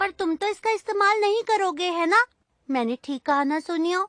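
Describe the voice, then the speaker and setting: Over faint background music, a put-on character voice at an extremely high pitch moves at a moderate pace. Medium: fan dub. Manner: protective, fussing.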